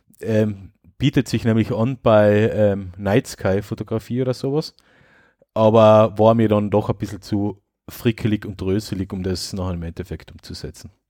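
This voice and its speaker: Fairly low male pitch, a dark, mellow tone and fairly even intonation at a moderate pace, in a dry, close sound with no echo and a very clean recording with a silent background. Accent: Austrian. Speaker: tech podcast host. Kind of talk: casual chat.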